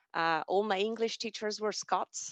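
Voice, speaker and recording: At a moderate pace, a woman speaks with ordinary pitch variation, her sound dry and close with no echo, over a quiet background. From France, then Austria from age 14. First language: French. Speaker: alumni speaker. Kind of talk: personal talk on stage.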